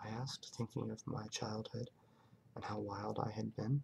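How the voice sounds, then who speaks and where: A soft-spoken man talks at a moderate pace. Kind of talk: ASMR book reading.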